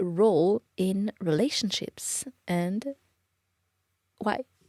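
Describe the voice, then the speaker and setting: With a French accent, a woman speaks in a playful, dark and mellow tone at a medium pitch. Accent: cute little French. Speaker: podcast co-host. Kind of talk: casual chat.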